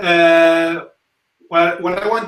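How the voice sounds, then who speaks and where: A man speaks with a strong Spanish accent. His pace is very slow. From Spain. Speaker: talk show host and zouk dancer. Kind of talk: casual live talk show. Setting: live stream. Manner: halting, many fillers.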